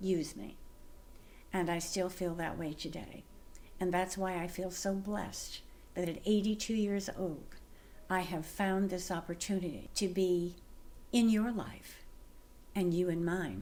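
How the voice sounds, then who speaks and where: With audible room echo, a woman of medium pitch and a dark, mellow tone talks at a fairly slow pace, leaving long, frequent pauses. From US West Coast. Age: 80s+. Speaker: lifestyle vlogger. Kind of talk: personal monologue to camera. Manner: animated.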